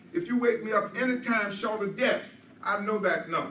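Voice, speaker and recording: A man's raised, projected voice with an American accent at a fairly quick pace, with audible room echo and noticeable background noise. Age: 80s+. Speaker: guest speaker, army veteran. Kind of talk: public speech. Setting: stage with audience.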